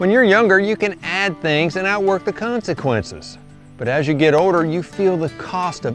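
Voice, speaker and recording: Music plays in the background while the speaker talks at a fairly slow pace with lively intonation. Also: man. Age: 60s. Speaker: farmer. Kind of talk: casual talk to camera.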